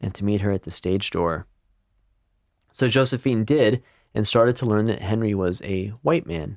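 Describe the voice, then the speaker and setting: A man's ordinary speaking voice at a fairly low pitch with ordinary pitch variation and a moderate pace, dry and close with no echo, in a very clean recording with a silent background. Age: 40s. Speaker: podcast co-host. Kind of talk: history storytelling, partly read from notes.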